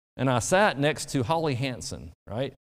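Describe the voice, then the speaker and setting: In a very clean recording with a silent background, a man speaks at a medium pitch with an Alabama accent. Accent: Southern US (Alabama). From US South, rural Alabama. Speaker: pastor. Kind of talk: sermon.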